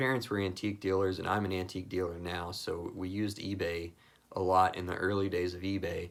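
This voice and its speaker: A man with an American accent speaks at a fairly quick pace. His pitch is very deep and low, and his intonation is monotone and flat. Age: 30s. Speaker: hobbyist content creator. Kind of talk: casual personal talk to camera.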